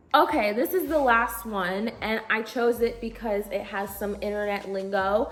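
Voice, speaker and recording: Against noticeable background noise, a woman speaks in an animated tone at a medium pitch, with ordinary pitch variation. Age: 20s. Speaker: YouTube vlogger reading Reddit stories. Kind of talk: reading aloud with commentary. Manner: casual, animated.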